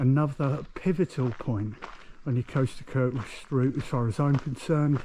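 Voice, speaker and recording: Quiet and somewhat breathy, a man with an English accent speaks in a dark, mellow tone at medium pitch with fairly even intonation. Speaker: hiking vlogger. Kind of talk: outdoor vlog narration. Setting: outdoors. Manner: quieter, keeping voice down.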